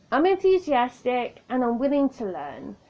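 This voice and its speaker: Speaking in a southern English accent, a woman with a high voice uses lively intonation at a moderate pace. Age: 30s. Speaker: podcaster. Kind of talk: casual monologue. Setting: home recording on tablet.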